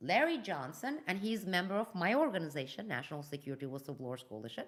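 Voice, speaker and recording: With a Turkish accent, a woman speaks in an animated tone at a fairly low pitch, her voice swinging very widely in pitch and showing vocal fry. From Turkey and Iran. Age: 50s. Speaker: geopolitical analyst and whistleblower. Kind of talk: live news commentary. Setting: live video stream.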